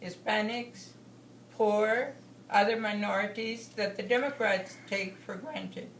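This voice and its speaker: A fairly high-pitched woman with an American accent, fairly slow and fairly even in intonation, amid noticeable background noise. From Texas, USA. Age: 70s. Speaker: political delegate. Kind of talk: political speech.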